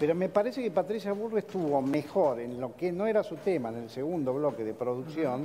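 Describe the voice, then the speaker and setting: A fairly high-pitched man talking at a fairly quick pace with very wide pitch swings, over light background noise. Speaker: political analyst. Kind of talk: analysis in studio interview. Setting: studio. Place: studio.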